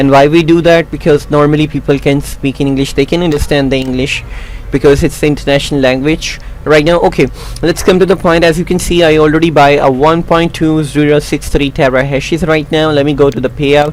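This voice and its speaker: Amid noticeable background noise, a man with a non-native accent talks at a fairly quick pace in a fairly high, monotone, flat voice. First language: not English. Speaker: YouTube tutorial creator. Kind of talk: tutorial. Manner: halting.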